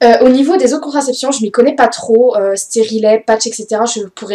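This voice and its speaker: This woman talks at a fairly high pitch with ordinary pitch variation. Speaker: beauty vlogger. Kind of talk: casual vlog talk. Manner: fast; hesitant, many fillers.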